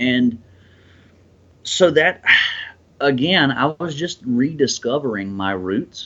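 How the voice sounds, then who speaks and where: An American-accented man speaks at a medium pitch with lively intonation. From US South, South Carolina. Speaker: country musician. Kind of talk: interview. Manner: halting, many fillers and restarts.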